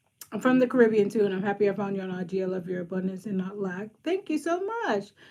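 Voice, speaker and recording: A woman has an ordinary speaking voice. She talks at a fairly quick pace with ordinary pitch variation. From Boston, Brighton. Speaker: social worker and career coach. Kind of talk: casual live stream chat with viewers. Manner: casual, frequent um fillers.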